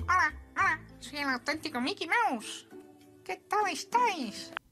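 A put-on character voice speaks at a high pitch and a fairly slow pace. Faint music plays in the background. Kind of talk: prank phone call.

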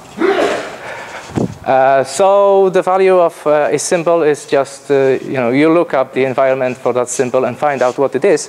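In a Polish accent, a man speaks at a moderate pace and fairly high pitch, with ordinary pitch variation and very even loudness over noticeable background noise. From Poland. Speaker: programmer. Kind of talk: conference talk. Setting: stage with audience. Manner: nervous, halting.

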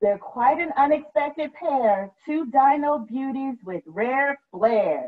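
Her pitch high, a woman speaks at a slow pace. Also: lively intonation.

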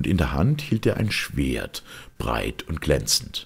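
A man's slow speech with a husky, rough edge and vocal fry

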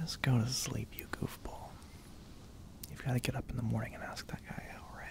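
Someone whispers at a moderate pace. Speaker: audio drama voice actor. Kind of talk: roleplay audio drama, intimate soft talk. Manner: soft, tender hushed voice.

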